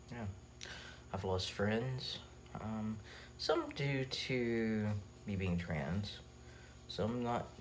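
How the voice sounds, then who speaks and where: In audible room echo, a man speaks at a very slow pace. He leaves long, frequent pauses. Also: fairly low pitch for a man, ordinary pitch variation. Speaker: vlogger. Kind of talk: personal vlog. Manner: halting, many fillers.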